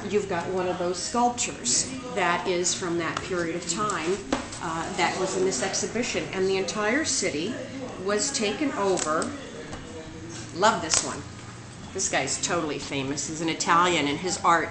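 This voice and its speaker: Over clear music in the background, a woman talks at a moderate pace with ordinary pitch variation and long, frequent pauses. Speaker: presenter. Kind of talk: casual educational vlog. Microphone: webcam.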